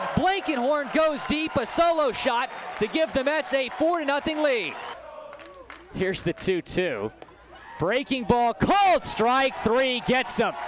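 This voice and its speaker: A man with an extremely high pitch speaks fairly slowly with lively intonation over noticeable background noise. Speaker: minor league baseball broadcaster. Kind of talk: baseball play-by-play demo.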